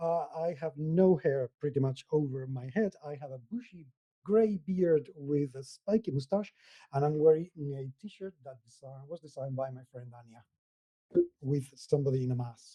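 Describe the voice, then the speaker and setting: Somewhat breathy and dark, mellow in tone, a man speaks at a moderate pace with ordinary pitch variation and big swings in loudness, in a dry, close sound with no echo. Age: 50s. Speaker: tabletop gaming podcaster and blogger. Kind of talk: interview. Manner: hesitant, many fillers.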